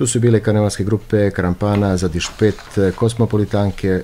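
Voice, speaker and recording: At a fairly quick pace, a man with fairly low pitch talks in a monotone, flat intonation over light background noise. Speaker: radio show host. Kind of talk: radio host introduction, news summary. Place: studio.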